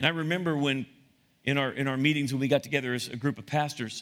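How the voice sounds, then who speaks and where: In a very clean recording with a silent background, a man with a medium pitch and a bright, sharp tone speaks with fairly even intonation. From US, Italian-American family. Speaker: pastor. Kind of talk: sermon. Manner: halting.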